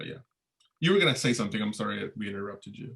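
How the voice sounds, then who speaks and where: A man's fairly low-pitched voice with vocal fry. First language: Spanish. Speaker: history professor. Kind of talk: informational Q&A session. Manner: halting, many fillers and repetitions.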